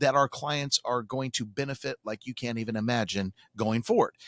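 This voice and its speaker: A man with a plain, everyday voice speaks at a medium pitch and a fairly quick pace, with ordinary pitch variation. The sound is dry and close, with no echo. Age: 60s. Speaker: radio talk show host. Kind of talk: radio talk show chat.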